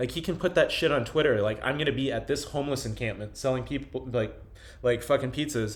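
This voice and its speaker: A man talks at a very fast pace with vocal fry. His pitch sits in the medium range with ordinary variation. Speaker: video journal host. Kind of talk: casual chat. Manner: animated.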